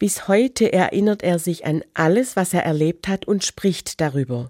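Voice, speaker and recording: A dark, mellow tone at a fairly slow pace, with lively intonation, a dry, close sound with no echo, and a very clean recording with a silent background. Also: woman. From Germany. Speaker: church radio speaker, religion teacher. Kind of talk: scripted radio devotional.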